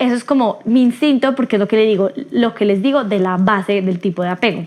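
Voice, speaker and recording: A woman talks at a very fast pace with a fairly high pitch and ordinary pitch variation. Her loudness stays very even. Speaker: podcast host. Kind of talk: solo podcast talk.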